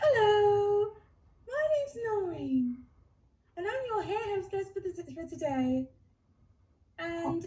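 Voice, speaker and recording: A woman's put-on character voice, extremely high in pitch with very wide pitch swings, fairly slow, with long, frequent pauses. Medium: stage play. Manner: condescending, falsely polite.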